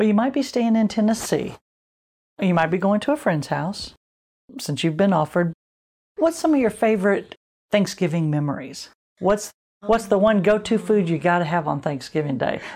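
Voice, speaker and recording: Pausing long and often, a woman with a dark, mellow tone and medium pitch talks at a moderate pace with very wide pitch swings. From Illinois. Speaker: podcast host, women's ministry leader. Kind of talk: casual chat. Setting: at guest's home.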